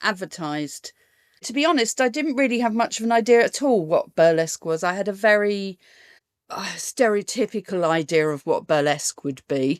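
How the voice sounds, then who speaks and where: A woman's medium-pitched voice in a southern English accent, with lively intonation and a moderate pace, dry and close with no echo, in a very clean recording with a silent background. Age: 60s. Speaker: burlesque performer. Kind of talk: interview.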